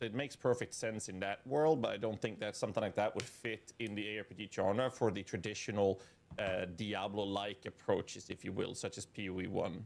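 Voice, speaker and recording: This man speaks at a fairly quick pace. His pitch is fairly low and his intonation fairly even. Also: hardly any pauses. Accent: Swedish. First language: Swedish. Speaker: streamer. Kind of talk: casual commentary.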